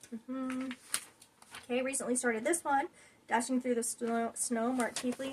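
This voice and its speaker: A woman talks at a fairly quick pace with a high pitch. Her tone is enthusiastic. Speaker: cross stitch video creator. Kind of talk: casual show-and-tell vlog. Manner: fast; chatty, enthusiastic.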